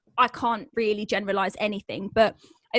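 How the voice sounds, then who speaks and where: A woman with a normal speaking voice and fairly high pitch talks at a fairly quick pace with fairly even intonation. The sound is dry and close, without echo. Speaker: podcast host. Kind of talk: podcast interview host.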